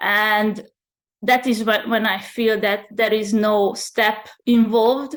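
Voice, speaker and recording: A woman's fairly high voice in a very clean recording with a silent background. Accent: Hungarian. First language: Hungarian. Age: 30s. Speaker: channeler and spiritual mentor. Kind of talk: interview. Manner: halting.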